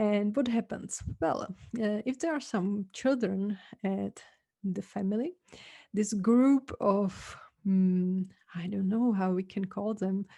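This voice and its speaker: Speaking very slowly with a Czech accent, a woman has a medium pitch, a dark, mellow tone, a somewhat breathy quality and ordinary pitch variation. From Czech Republic. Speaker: podcast host. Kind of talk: casual podcast talk.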